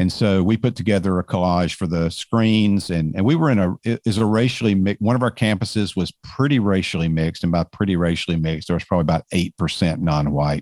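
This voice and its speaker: A man with a Georgia accent talks very fast with hardly any pauses, at a very deep, low pitch, with ordinary pitch variation and very even loudness, in a dry, close sound with no echo on a very clean recording with a silent background. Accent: Southern American (Georgia). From US South, suburbs of Atlanta, Georgia. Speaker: author and speaker. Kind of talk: interview conversation.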